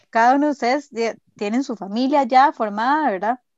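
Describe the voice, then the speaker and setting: A woman speaks at a fairly quick pace in a high voice with ordinary pitch variation, the sound dry and close with no echo over a quiet background. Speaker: podcast co-host. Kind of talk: casual chat.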